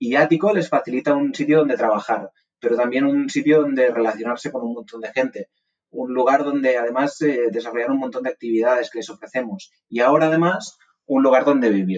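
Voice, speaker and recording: This man has a normal speaking voice at medium pitch with ordinary pitch variation. He talks at a fairly quick pace. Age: 20s. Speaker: startup CEO. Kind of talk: interview.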